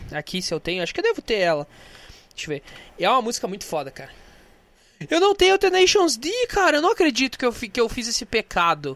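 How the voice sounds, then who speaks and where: A man talks very fast in an animated tone at an extremely high pitch, with very wide pitch swings and big swings in loudness. Long, frequent pauses break up his speech, and the sound is dry and close with no echo. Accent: Brazilian. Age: 20s. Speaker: podcast host. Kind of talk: casual solo monologue with music.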